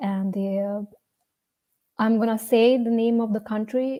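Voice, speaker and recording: Someone with an Indian accent speaks at a fairly slow pace in a dark, mellow tone. The intonation stays monotone and flat. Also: woman. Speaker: storyteller. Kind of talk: personal storytelling.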